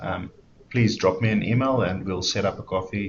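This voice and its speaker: A man with a South African accent speaks at a moderate pace, his fairly low voice somewhat breathy. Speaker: software developer evangelist. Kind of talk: webinar presentation.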